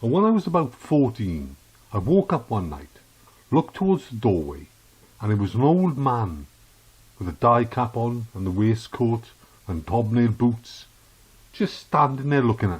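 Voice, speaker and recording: His voice is medium in pitch and somewhat breathy, with very wide pitch swings. The man leaves long, frequent pauses. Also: moderate pace. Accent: Welsh. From South Wales. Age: 60s. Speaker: podcast host. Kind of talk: opinion monologue.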